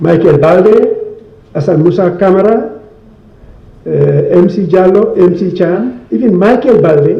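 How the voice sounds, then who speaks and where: A man speaks at a high pitch and a fairly slow pace, with ordinary pitch variation. Noticeable background noise and audible room echo are present. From Gambia. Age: 70s. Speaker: book launch speaker. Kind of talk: speech. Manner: halting.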